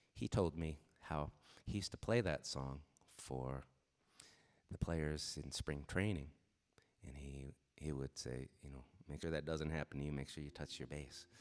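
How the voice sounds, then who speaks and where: A man with an American accent speaks in a very deep, low voice at a moderate pace. His intonation stays fairly even, broken by long, frequent pauses. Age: 60s. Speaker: singer-songwriter. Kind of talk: live stream song introduction. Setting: live stream from home. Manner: casual storytelling.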